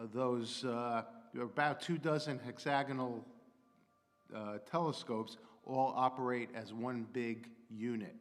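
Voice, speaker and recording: Audible room echo surrounds a man speaking at a fairly slow pace, medium in pitch, with fairly even intonation. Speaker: astrophysicist and technology consultant. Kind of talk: public lecture.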